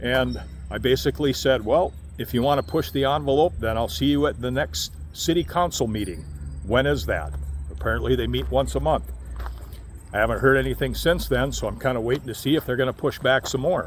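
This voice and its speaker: A man with a fairly low pitch and vocal fry talks at a fairly quick pace, his voice making very wide pitch swings. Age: 60s. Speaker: RV vlogger. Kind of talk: casual vlog monologue.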